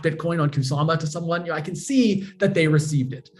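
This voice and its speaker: This man talks at a fairly quick pace. He has an American accent. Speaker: crypto foundation education director. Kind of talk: interview. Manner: halting, many fillers and repeats.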